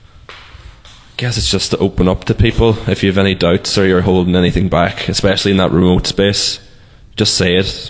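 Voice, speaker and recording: Against noticeable background noise, a man with a Donegal accent talks at a moderate pace in a very deep, low pitch with fairly even intonation. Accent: Donegal Irish. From Letterkenny, Donegal, Ireland. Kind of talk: interview.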